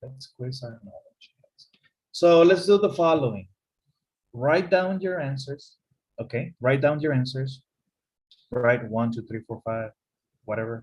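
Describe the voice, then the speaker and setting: Somewhat breathy, a man at medium pitch speaks at a very slow pace with ordinary pitch variation. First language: Spanish. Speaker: English teacher. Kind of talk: online class lecture.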